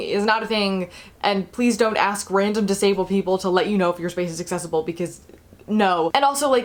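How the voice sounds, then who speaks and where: A woman with an American accent, talking at a very fast pace. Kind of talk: informal educational talk to camera.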